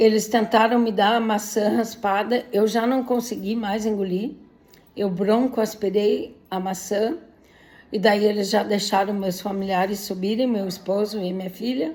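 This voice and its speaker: In a plain, everyday voice, a woman talks at medium pitch and a fairly slow pace with fairly even intonation. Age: 60s. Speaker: patient sharing illness story. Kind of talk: personal testimony. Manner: emotional.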